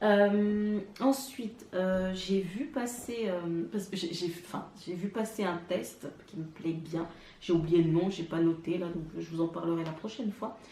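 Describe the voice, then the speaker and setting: Hardly pausing, a woman speaks at a very slow pace, medium in pitch with ordinary pitch variation. Noticeable background noise runs behind her. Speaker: knitting vlogger. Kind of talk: casual vlog monologue. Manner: hesitant, many fillers.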